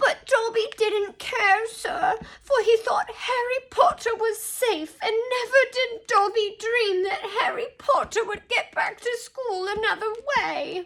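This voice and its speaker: Someone speaks in a put-on character voice at an extremely high pitch and a fairly slow pace. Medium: read story. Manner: speaks of himself in third person, pleading.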